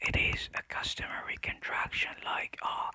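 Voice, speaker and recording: A whisper at a very slow pace, with noticeable background noise behind it. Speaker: ASMR creator. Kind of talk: audiobook-style reading of classic fiction. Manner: soft, whispered.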